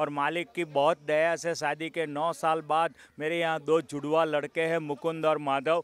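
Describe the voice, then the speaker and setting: A fairly high-pitched man's voice in a flat monotone, dry and close with no echo. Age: 60s. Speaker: retired banker. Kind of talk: street interview.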